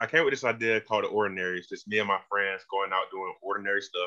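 A man with a Georgia accent, talking at a very fast pace. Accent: US Southern (Georgia). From rural Georgia near Macon, US South. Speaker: music video director. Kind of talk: casual interview.

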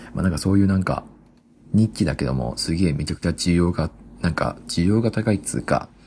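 Lively intonation and vocal fry at a fairly quick pace. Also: man. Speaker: solo podcaster. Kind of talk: casual monologue. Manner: fast; casual, laughing.

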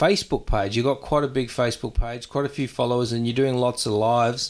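A man speaks with an Australian accent. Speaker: podcast host. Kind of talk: casual interview chat.

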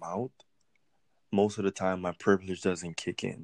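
A man's voice, dry and close with no echo, against a quiet background. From US Virgin Islands. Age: 20s. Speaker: podcast guest. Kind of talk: casual chat.

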